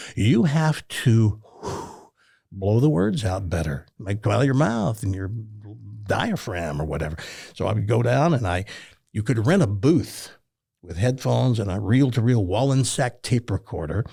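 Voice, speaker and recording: Somewhat breathy and dark, mellow in tone, a man speaks at a moderate pace and a fairly low pitch, with lively intonation. His long, frequent pauses come through on a very clean recording with a silent background. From Tennessee. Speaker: retired radio talk show host. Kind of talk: casual interview storytelling. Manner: animated.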